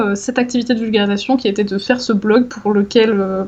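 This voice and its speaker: Using a normal speaking voice, a woman talks with fairly even intonation at a fairly high pitch. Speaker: science communicator, former PhD researcher. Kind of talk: casual interview conversation.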